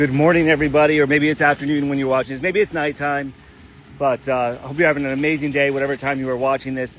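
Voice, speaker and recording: A man's animated, fairly high voice at a very fast pace, over noticeable background noise. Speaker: motocross park owner. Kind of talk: live stream update.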